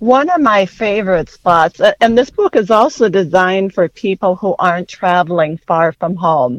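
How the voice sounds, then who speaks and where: A woman with an American accent speaks at a moderate pace and a medium pitch, with lively intonation and hardly any pauses. It is an unremarkable speaking voice with a dry, close sound and no echo. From west central Minnesota. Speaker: journalist and author. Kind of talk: interview.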